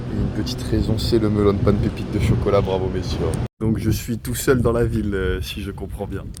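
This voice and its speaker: A man talks fairly quickly in a space with audible room echo, and noticeable background noise is present too. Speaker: travel vlogger. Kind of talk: vlog narration. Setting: outdoors walking in city. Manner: casual, relaxed.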